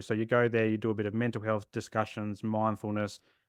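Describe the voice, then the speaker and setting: A man speaks with an Australian accent at a moderate pace and medium pitch. The sound is dry and close with no echo, over a quiet background. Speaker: therapist. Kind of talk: podcast interview.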